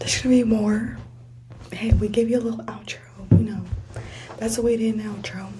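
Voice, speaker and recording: A woman talks quietly at a fairly quick pace. Noticeable background noise and audible room echo fill the recording. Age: young. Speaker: podcast host. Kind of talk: casual chat. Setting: college study room.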